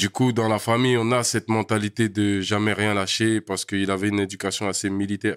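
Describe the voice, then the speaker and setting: A man speaks in a flat monotone with fairly low pitch. The sound is dry and close with no echo. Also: very clean recording, silent background. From Paris region, France (Val d'Oise, Essonne). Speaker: rapper and producer. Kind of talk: casual chat.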